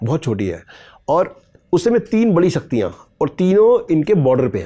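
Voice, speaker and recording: Against a quiet background, a man with a dark, mellow tone speaks at a high pitch and moderate pace, with very wide pitch swings. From Meerut, western Uttar Pradesh; Uttar Pradesh. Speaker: historian and author; guest. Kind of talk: interview, storytelling about history; interview answer. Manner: halting, with many pauses and fillers. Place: studio. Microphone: lapel.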